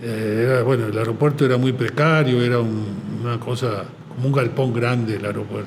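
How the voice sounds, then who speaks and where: The speaker goes at a fairly quick pace with fairly even intonation, with audible room echo and noticeable background noise. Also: man, medium pitch for a man. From Argentina. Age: 70s. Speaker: advertising agency president. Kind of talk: podcast interview. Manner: halting, many fillers.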